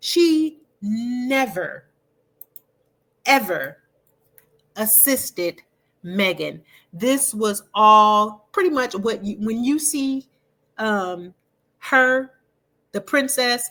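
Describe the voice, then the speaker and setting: A woman speaks at a very slow pace with long, frequent pauses. Her high voice has a bright, sharp tone and lively intonation. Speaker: commentary podcaster. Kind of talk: casual monologue. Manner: mumbling.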